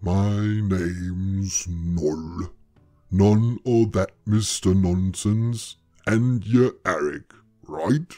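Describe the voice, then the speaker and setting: A man uses a put-on character voice with a fairly low pitch. He speaks at a very slow pace. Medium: read story. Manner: blunt, gruff, dry.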